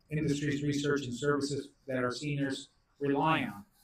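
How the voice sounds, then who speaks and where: A man speaks fairly quickly, his fairly high voice somewhat breathy. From Mexico, moved to US at eleven. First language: Spanish. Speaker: congressman. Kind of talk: prepared speech at policy briefing.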